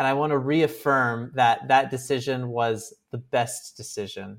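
A man speaks at medium pitch with fairly even intonation. He has an unremarkable speaking voice. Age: 30s. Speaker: podcast co-host. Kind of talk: casual chat.

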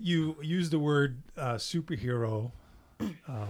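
The recording is very clean and the background silent. A somewhat breathy quality marks the voice. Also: man. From French Canada. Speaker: podcast host. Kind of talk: interview.

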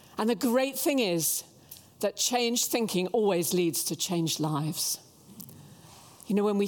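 Her pitch swings very widely. The woman keeps a moderate pace. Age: 70s. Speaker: guest preacher. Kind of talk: sermon. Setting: church with congregation.

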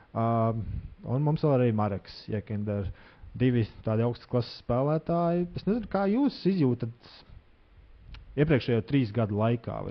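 A man's plain, everyday voice at a medium pitch, with lively intonation. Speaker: podcast host. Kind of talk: interview.

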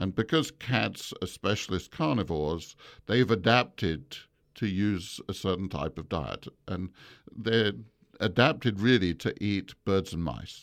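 In a very clean recording with a silent background, a man with an English accent and a very deep, low pitch speaks fairly slowly with lively intonation and vocal fry. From England. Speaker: veterinary professor. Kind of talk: interview. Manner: halting.

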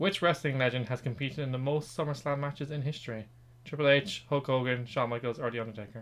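A man with an Irish accent, medium pitch and ordinary pitch variation, at a very fast pace. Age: 20s. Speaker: podcast host, quiz master. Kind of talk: quiz hosting; casual chat.

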